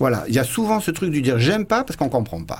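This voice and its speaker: Speaking at a very fast pace, a man uses lively intonation in a somewhat breathy voice. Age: 50s. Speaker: flamenco guitarist. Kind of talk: radio interview.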